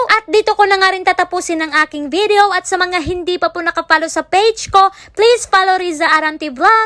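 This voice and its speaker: A woman with an extremely high pitch and a bright, sharp tone projects her raised voice at a moderate pace with hardly any pauses, in a dry, close sound with no echo. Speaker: vlogger, school music teacher working abroad. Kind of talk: vlog narration.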